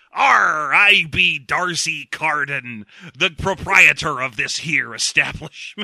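A man puts on a raspy character voice pitched fairly high. He talks at a very slow pace. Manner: piratical.

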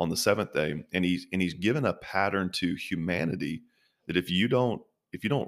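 With a very deep, low pitch and vocal fry, a man talks at a moderate pace with lively intonation. The recording is very clean, the background silent. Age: 30s. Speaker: pastor. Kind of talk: interview.

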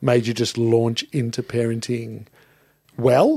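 With an Australian accent, a man speaks in a medium pitch with a dark, mellow tone. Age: 50s. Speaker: podcast host and studio operator. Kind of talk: casual chat. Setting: studio.

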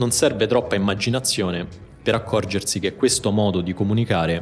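A man speaks with fairly low pitch. Music plays in the background. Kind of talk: scripted narration. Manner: measured, explanatory.

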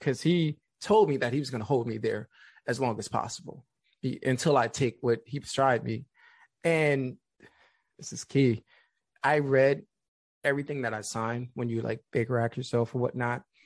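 A man with an American accent speaks at a medium pitch with ordinary pitch variation. He takes long, frequent pauses, and the sound is dry and close with no echo. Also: quiet background. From New York City (the Bronx). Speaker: suicide prevention speaker. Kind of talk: personal testimony in interview. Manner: calm.

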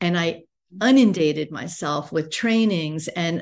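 A woman speaks in a normal speaking voice at a moderate pace. Her pitch is fairly low, with ordinary pitch variation. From United States. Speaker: business coach and entrepreneur. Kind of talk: podcast interview.

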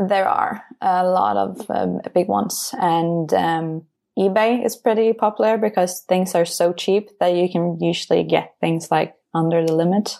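A woman in a Norwegian accent, medium-pitched with a dark, mellow tone, at a fairly slow pace with hardly any pauses, very even loudness and ordinary pitch variation. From Norway, Bergen. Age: 20s. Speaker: podcast patron, chemical engineer. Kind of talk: casual chat. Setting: remote call.

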